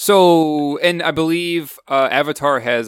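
The voice belongs to a man with a high pitch. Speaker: podcast co-host. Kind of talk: casual chat.

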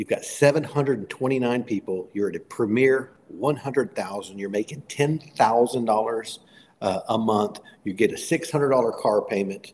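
With ordinary pitch variation, a man's voice stays around medium pitch. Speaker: network marketing leader. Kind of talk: sales pitch. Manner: animated, hyped, rapid-fire.

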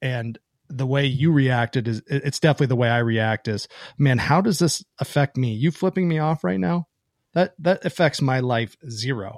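An American accent with lively intonation, in a dry, close sound with no echo, on a very clean recording with a silent background. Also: man, medium pitch for a man, moderate pace. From Pennsylvania. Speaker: podcast host. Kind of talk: casual chat. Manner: halting, many fillers.

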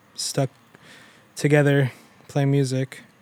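A man with an American accent speaks at a moderate pace in a fairly high pitch. His intonation is flat and monotone. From Germany, south of Munich. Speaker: indie musician. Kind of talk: casual chat.

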